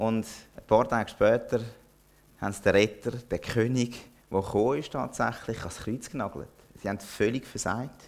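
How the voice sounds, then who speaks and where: Speaking at a fairly slow pace, a man with a medium pitch uses ordinary pitch variation, long and frequent pauses, and big swings in loudness. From Zürcher Oberland, Switzerland. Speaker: pastor. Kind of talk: sermon.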